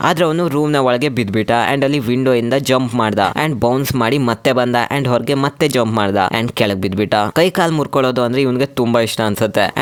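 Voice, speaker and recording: In a normal speaking voice, a man talks at a medium pitch with very even loudness and ordinary pitch variation. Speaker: movie explainer narrator. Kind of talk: casual movie recap narration. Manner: joking, conversational.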